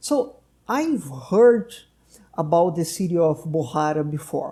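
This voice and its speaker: Delivered at a very slow pace, the voice has a dark, mellow tone, lively intonation and a Portuguese accent. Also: man, high pitch for a man. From Brazil. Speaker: doctor and podcast host. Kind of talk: casual interview conversation.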